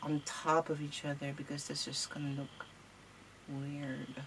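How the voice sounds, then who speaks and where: Over noticeable background noise, a woman speaks at a very deep, low pitch. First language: not English. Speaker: crafting tutorial host. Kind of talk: tutorial. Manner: casual, hesitant.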